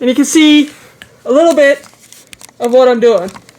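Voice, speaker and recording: This woman speaks at a fairly quick pace with fairly even intonation. Noticeable background noise is present. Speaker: DIY home renovation vlogger. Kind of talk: casual vlog narration. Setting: indoors, bathroom renovation at aunt's house. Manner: rambling, self-correcting.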